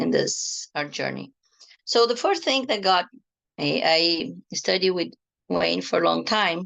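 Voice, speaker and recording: A woman with a non-native accent speaks at a fairly slow pace. Long pauses come often. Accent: foreign. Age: 50s. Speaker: energy healing teacher and tarot therapist. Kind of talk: online workshop talk.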